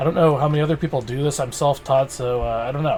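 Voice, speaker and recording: A man with a fairly high voice and ordinary pitch movement speaks over noticeable background noise. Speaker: animation tutorial youtuber. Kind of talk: tutorial. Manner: fast; casual, many fillers.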